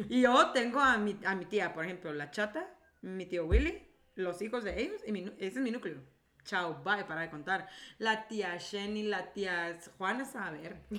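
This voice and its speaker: A woman at medium pitch with an animated, bright, sharp tone, lively intonation, and a fairly slow pace. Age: 30s. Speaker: podcast co-host, creative director. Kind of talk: casual chat. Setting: studio.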